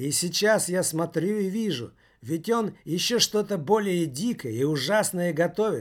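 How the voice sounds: A natural reading voice is heard here, with ordinary pitch variation.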